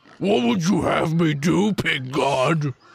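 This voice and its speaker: This man puts on a character voice that is raspy and fairly high-pitched. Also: fairly slow pace. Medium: actual play.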